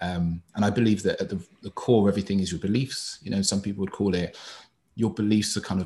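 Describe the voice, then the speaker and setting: A man's fairly low voice with a London accent, very fast and fairly even in intonation, over a quiet background. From East London, England. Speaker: dating and relationship coach. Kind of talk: casual chat.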